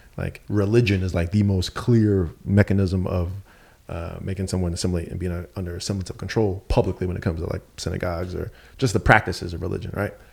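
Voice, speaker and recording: On a very clean recording with a silent background, a man talks very fast in a very deep, low, somewhat breathy voice with monotone, flat intonation. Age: 30s. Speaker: entrepreneur. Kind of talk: casual chat.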